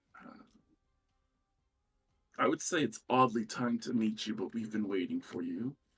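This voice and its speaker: A man of medium pitch performs a put-on character voice that is raspy, at a moderate pace with long, frequent pauses. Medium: actual play. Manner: hesitant, halting.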